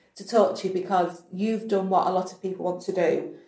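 Her medium-pitched voice stays monotone and flat as the woman speaks at a moderate pace. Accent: northern English. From northern England. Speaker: podcast host. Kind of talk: casual interview chat.

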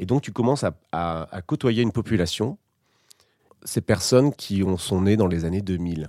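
In a dry, close sound with no echo, a man talks at a moderate pace with a fairly low pitch and ordinary pitch variation. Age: 30s. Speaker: former advertising professional. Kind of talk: personal testimony. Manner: halting, many fillers and repetitions.

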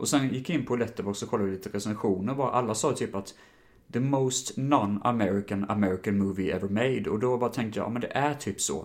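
His words come out very fast. This man's pitch is middling and moves in a normal way. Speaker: film podcast host. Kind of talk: casual solo podcast film reviews. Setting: home recording, standing. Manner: animated, gesticulating while standing.

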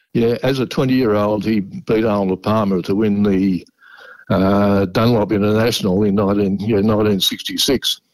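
A man with an Australian accent, fairly low pitch, fairly even intonation and very even loudness. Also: moderate pace. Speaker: caller. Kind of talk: casual chat.

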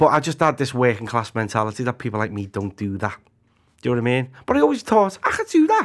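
Lively in intonation, a man talks at a very fast pace with a Liverpool accent. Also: medium pitch for a man. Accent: Scouse. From Liverpool, Walton / Anfield. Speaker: actor and comedian. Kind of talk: casual chat.

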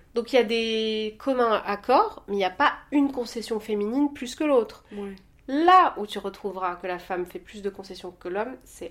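Over noticeable background noise, a woman talks at a moderate pace. Her pitch is fairly high and varies in an ordinary way. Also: big swings in loudness. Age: 30s. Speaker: podcast guest, Instagram personality. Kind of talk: casual chat.

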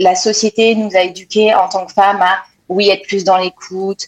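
The sound is close and dry, with no echo. A woman is the speaker. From France. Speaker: human resources professional. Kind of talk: panel discussion. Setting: online audio room.

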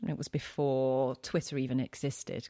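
A woman speaks in a London accent. The recording is very clean with a silent background, dry and close with no echo. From East London, England. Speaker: wine writer and TV presenter. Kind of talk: casual interview.

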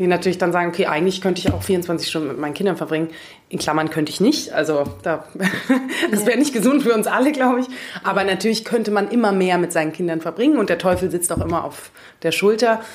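Very fast speech with lively intonation over music in the background. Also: woman, medium pitch for a woman. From Germany, Munich. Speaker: coach and corporate manager. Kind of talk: interview.

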